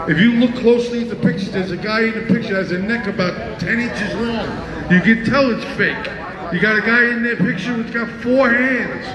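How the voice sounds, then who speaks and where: Over noticeable background noise, a man speaks loudly at an extremely high pitch with fairly even intonation. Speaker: rally speaker and political candidate. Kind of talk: rally speech. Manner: loud, fiery and rallying, hammering slogans and warnings to the crowd. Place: street. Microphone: pa.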